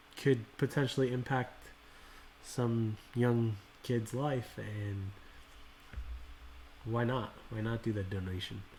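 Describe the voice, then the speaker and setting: A man's somewhat breathy, medium-pitched voice in a calm, relaxed tone, with fairly even intonation, a very slow pace and long, frequent pauses. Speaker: card collecting livestream host. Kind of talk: casual livestream chat. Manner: monotone.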